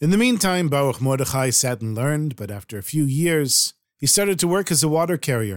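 A man's plain, everyday voice, at a fairly quick pace with lively intonation, on a very clean recording with a silent background. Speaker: storyteller podcast host. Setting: podcasting from Jerusalem.

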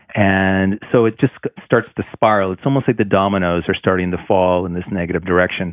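The intonation stays fairly even. The pace is fairly quick, with hardly any pauses. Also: man, very deep, low pitch for a man. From born in Colombia, Canadian. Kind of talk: casual interview conversation. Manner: halting, frequent fillers.

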